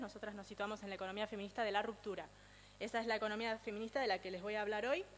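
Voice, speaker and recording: At a very fast pace, a woman with a fairly high pitch speaks in fairly even intonation. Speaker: speaker on feminist economics. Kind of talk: lecture.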